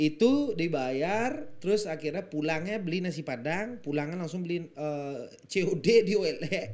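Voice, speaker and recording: A man speaks fairly slowly with hardly any pauses. His high-pitched voice has lively intonation. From foreigner raised outside Indonesia. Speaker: entertainer; podcast guest. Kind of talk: casual chat. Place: studio. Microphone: studio mic.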